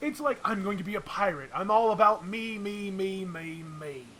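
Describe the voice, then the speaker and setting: Putting on a high-pitched character voice, a man speaks at a moderate pace over clear background noise. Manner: stereotypical, self-absorbed.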